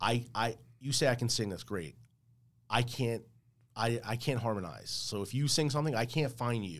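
A man with a New Jersey accent at a moderate pace, long, frequent pauses, on a very clean recording with a silent background. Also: medium pitch for a man, ordinary pitch variation. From New Jersey, Woodbridge area. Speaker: musician. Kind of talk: casual chat. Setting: studio.

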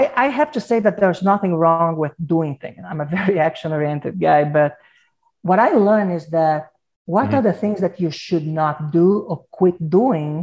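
Moderate pace with a Portuguese accent. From Brazil. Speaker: advertising agency executive. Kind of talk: interview.

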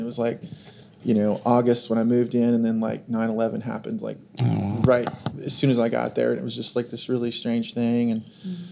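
Over noticeable background noise, a man with an American accent speaks in a flat monotone at a fairly quick pace. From Oklahoma, small town. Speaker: musician. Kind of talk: casual chat. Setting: studio.

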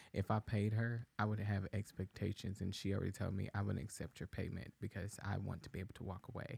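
Speaking very fast with an American accent, a man uses a fairly low pitch, fairly even intonation and vocal fry. The sound is dry and close, with no echo. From Texas, Dallas (Oak Cliff). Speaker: podcast producer and co-host. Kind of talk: casual chat. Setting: studio.

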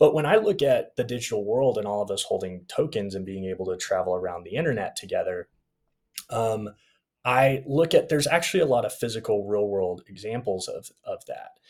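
A man speaking at a fairly quick pace on a very clean recording with a silent background. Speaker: marketing founder. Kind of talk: casual interview chat. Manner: upbeat, energetic.

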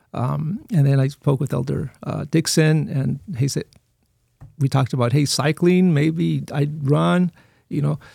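A man's fairly high, somewhat breathy voice with a dark, mellow tone and an American accent, ordinary pitch variation, a fairly slow pace, and a dry, close sound with no echo. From Texas border region (Eagle Pass), migrant family. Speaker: church administrator and pastor. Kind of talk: casual interview.

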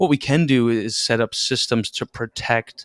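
In a very clean recording with a silent background and a dry, close sound with no echo, a man with a Canadian accent uses an unremarkable speaking voice at medium pitch with fairly even intonation. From Canada, Toronto area. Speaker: securities lawyer and podcast host. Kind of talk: interview conversation.

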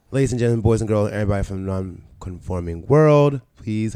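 A man talks in a fairly low voice with a dark, mellow tone. His pitch varies in an ordinary way. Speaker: podcast host. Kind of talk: casual chat. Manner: animated.

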